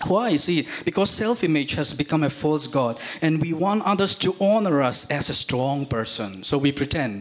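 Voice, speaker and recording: A man speaks at a fairly slow pace with hardly any pauses, his pitch fairly high and his intonation lively. His loudness stays very even, and there is noticeable background noise. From India. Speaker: visiting preacher. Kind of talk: sermon. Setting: church.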